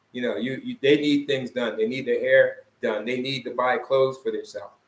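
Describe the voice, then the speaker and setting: With a Philadelphia accent, a man talks at a fairly quick pace. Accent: Philadelphia American English. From US, Philadelphia. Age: 60s. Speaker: vlogger, expat retiree. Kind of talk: casual chat. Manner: halting.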